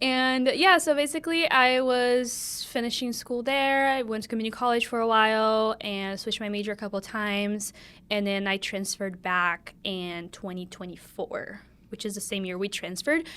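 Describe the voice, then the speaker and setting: A woman with a Brazilian Portuguese accent speaks at a moderate pace in a fairly high pitch with ordinary pitch variation and a bright, sharp tone, on a very clean recording with a silent background. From Brazil, São Paulo. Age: 20s. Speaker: podcast co-host, college student. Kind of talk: casual chat.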